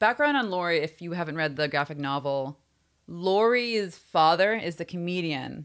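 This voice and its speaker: In a plain, everyday voice, a woman talks at a moderate pace with fairly low pitch and lively intonation on a very clean recording with a silent background. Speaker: podcast host. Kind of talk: casual chat.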